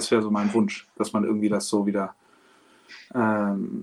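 A man at a moderate pace. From Hamburg, northern Germany. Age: 40s. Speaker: opera singer. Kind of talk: interview.

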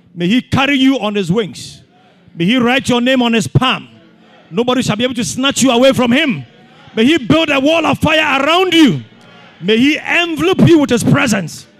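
Against noticeable background noise, a man with an extremely high pitch speaks at a moderate pace with lively intonation. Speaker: pastor. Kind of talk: fervent prayer and blessing. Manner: fervent, declarative; rhythmic, repetitive cadence.

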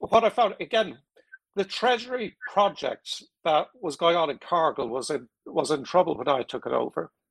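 At a moderate pace, a man speaks in a high pitch with very wide swings, the sound dry and close with no echo. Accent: Irish. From Ireland. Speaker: technology executive and board advisor. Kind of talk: casual interview. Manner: halting, repeats words.

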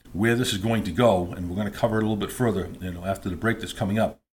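A somewhat breathy, fairly low male voice with ordinary pitch variation. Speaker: podcast host. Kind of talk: solo political commentary podcast. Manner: halting, filler-heavy.

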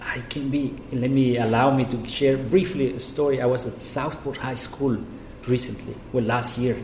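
A man with a Spanish accent speaks at a moderate pace in a medium pitch, his intonation fairly even. Noticeable background noise runs beneath him. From Guatemala. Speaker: state official. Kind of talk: interview. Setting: office.

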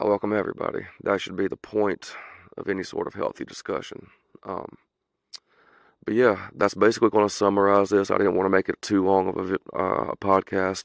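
A man speaks at a fairly quick pace in a fairly low, monotone voice with flat intonation. The sound is dry and close with no echo, over a quiet background. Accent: American. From US South. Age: 30s. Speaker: podcast host. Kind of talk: solo opinion monologue, mostly unscripted. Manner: passionate, political rant.

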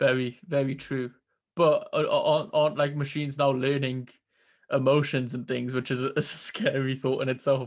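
A man with a British accent speaks at a moderate pace and a fairly high pitch. His intonation is monotone and flat, over a quiet background. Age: 20s. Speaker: podcast host. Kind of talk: interview conversation. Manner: hesitant, repeats words.

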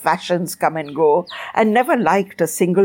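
The speaker uses a natural reading voice.

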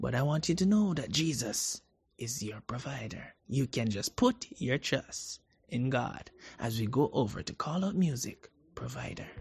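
A man with vocal fry speaks at a fairly slow pace in a soothing, upbeat tone with lively intonation, against a quiet background. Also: medium pitch for a man. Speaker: radio host. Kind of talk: radio DJ patter, warm and devotional, introducing gospel songs between tracks. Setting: radio broadcast. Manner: smooth, soothing, upbeat and reassuring, repeating a catchphrase and topic.

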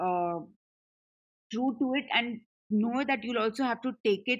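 An ordinary speaking voice from a woman, fairly high in pitch with ordinary pitch variation, against a quiet background. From Punjab, India. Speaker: music company CEO. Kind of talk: casual chat.

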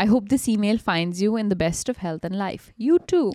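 Animated and lively, a woman's fairly high voice comes through dry and close with no echo in a very clean recording with a silent background. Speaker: podcast co-host. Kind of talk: horror story narration read aloud. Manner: animated, laughing.

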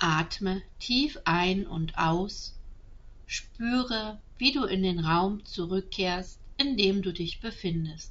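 This woman has a calm, gentle tone, a medium pitch, and ordinary variation in her pitch. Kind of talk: guided meditation. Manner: slow, soft-spoken, soothing; calm, gentle, with long pauses.

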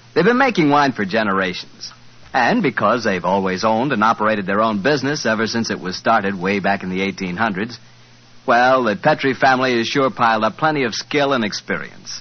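Speaking at a fairly quick pace, a man has an unremarkable speaking voice of medium pitch with ordinary pitch variation. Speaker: radio announcer. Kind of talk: radio sponsor ad read and announcements. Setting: studio. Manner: warm, chatty, friendly salesman tone.

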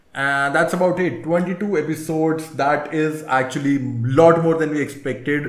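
With audible room echo around him, a man speaks at a moderate pace in a fairly high pitch and fairly even intonation. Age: 30s. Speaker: motoring podcast co-host. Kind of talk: casual chat.

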